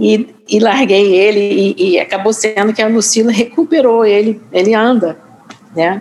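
Speaking at a fairly slow pace, a woman with a fairly high pitch keeps her loudness very even and her pitch variation ordinary, with noticeable background noise behind her. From US Northeast. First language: English (speaking Portuguese). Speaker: journalist and author. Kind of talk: interview. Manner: hesitant, many fillers.

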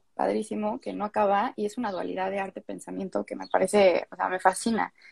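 A woman's very fast speech in a dry, close sound with no echo. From Mexico City. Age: young. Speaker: psychology student and content creator. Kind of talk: casual interview chat. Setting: Instagram live video stream.

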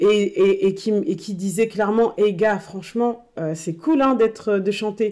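With ordinary pitch variation, a woman talks in a dark, mellow tone. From northern France, Tourcoing. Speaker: association co-founder. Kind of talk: casual chat.

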